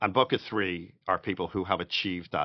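A man speaks with a Dublin accent. His pitch is very deep and low. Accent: Irish (Dublin). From Ireland, Dublin. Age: 50s. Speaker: podcast co-host, real estate investor. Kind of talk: casual chat.

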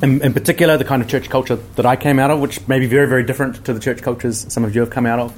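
A man with a New Zealand accent talks at a very fast pace. He leaves hardly any pauses and keeps fairly even intonation. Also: medium pitch for a man. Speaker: podcaster and wedding officiant. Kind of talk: panel discussion. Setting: stage with audience. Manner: loud.

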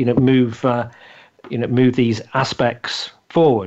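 At a fairly quick pace, a man talks with a British accent. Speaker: podcast host interviewer. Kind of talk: casual interview.

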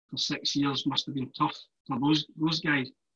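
A man with a Glaswegian accent speaks at a moderate pace, his fairly high pitch held in fairly even intonation. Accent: Glaswegian Scottish. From Scotland, Glasgow. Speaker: former professional footballer. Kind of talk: casual chat.

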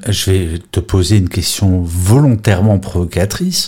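A man speaks with a fairly low-pitched voice. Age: 50s. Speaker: podcast host and moderator. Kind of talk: moderated group discussion on audio app. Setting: live audio chat room, replay. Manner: animated, enthusiastic.

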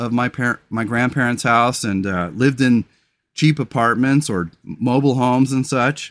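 On a very clean recording with a silent background, a man with an unremarkable speaking voice talks at a moderate pace and medium pitch, his pitch varying in an ordinary way. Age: 40s. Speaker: podcast host and comedian. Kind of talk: solo monologue podcast.

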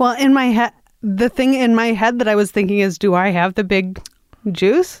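A woman speaks in a fairly high pitch at a moderate pace. Her loudness is very even and her pitch variation ordinary. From US Midwest. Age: 30s. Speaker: comedian. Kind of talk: casual interview chat.

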